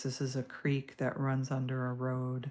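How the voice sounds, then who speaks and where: A woman with an American accent speaks at a very slow pace in a very deep, low pitch, her tone dark, mellow and relaxed. The recording is very clean, with a silent background. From US Midwest, Stoughton, Wisconsin. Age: 60s. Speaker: artist. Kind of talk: live-stream drawing chat. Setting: live stream. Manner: relaxed, casual with fillers.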